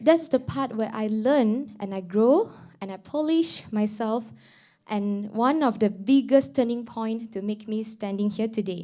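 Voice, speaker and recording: Speaking at a fairly slow pace in a Mandarin accent, this dark, mellow voice has ordinary pitch variation on a very clean recording with a silent background. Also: woman, fairly high pitch for a woman. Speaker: student council president. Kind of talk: formal speech. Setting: stage with audience. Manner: formal; halting.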